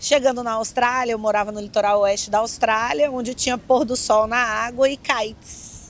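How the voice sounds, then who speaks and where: The speaker talks at a moderate pace with a Brazilian accent and hardly any pauses. The intonation is fairly even. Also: woman, fairly high pitch for a woman. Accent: regional Brazilian. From Brazil, Brasília. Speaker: kitesurfing coach. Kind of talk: interview.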